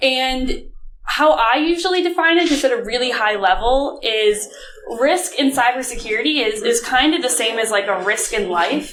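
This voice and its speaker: With lively intonation and an American accent, a woman speaks at a high pitch amid audible room echo. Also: moderate pace. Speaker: conference speaker, data analytics director. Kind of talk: conference talk. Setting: stage with audience. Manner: casual, filler-heavy.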